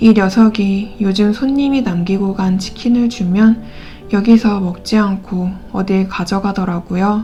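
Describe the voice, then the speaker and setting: With music in the background, a woman at a medium pitch speaks in a calm tone at a fairly slow pace. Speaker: audiobook reader. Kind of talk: novel narration read aloud. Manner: calm, soft-spoken.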